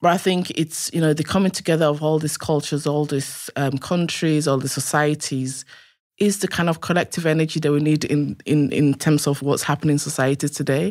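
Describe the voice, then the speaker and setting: A woman's very deep, low voice at a fairly quick pace, with fairly even intonation and very even loudness, on a very clean recording with a silent background. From western Nigeria. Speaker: university lecturer. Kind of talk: interview.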